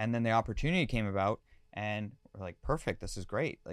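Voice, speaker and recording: A man at a very fast pace and fairly low pitch, with a Canadian accent, on a very clean recording with a silent background. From Canada, London, Ontario. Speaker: DJ and music producer. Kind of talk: casual interview.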